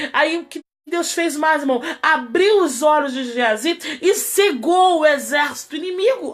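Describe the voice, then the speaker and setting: High in pitch, a woman talks with lively intonation. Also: fairly slow pace. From Rio de Janeiro, Brazil. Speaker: pastor. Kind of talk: sermon.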